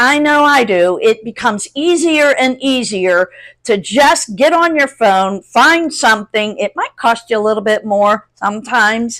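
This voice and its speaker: A woman has a plain, everyday voice with a fairly high pitch and lively intonation. She talks at a fairly slow pace with hardly any pauses. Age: 60s. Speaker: YouTube content creator. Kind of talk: casual tutorial to camera. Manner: conversational.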